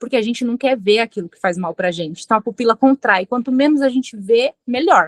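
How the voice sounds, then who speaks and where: A woman with an ordinary speaking voice talks at a fairly high pitch and a fairly quick pace with hardly any pauses. Her intonation is lively, her loudness swings widely, and the sound is dry and close with no echo. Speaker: forensic expert lecturer. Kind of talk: lecture.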